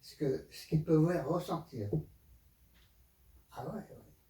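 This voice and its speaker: Very slow and dark, mellow in tone, this man's voice sits fairly high in pitch. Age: 80s+. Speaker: aikido teacher. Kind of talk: interview answer.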